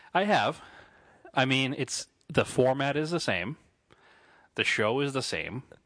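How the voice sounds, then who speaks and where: The speaker goes at a fairly slow pace with long, frequent pauses. Pitch varies in an ordinary way over a quiet background. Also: man, fairly high pitch for a man. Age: 30s. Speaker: car podcast co-host. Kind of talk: casual chat.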